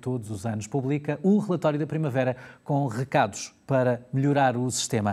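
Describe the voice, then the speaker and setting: A man speaks with a European Portuguese accent at a moderate pace. His medium-pitched voice has a dark, mellow tone and ordinary pitch variation. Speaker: health show host. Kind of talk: interview.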